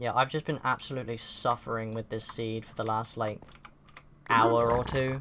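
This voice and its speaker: In a British accent, the speaker keeps a moderate pace over noticeable background noise. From Britain. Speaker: streamer. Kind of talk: casual gameplay commentary. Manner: casual, rambling with fillers.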